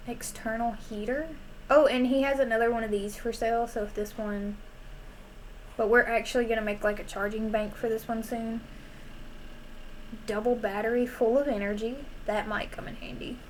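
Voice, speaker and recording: With a Southern US accent, a woman speaks at a moderate pace in a relaxed, fairly high, monotone voice with flat intonation, long, frequent pauses and audible room echo. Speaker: gaming streamer. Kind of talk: casual gameplay commentary.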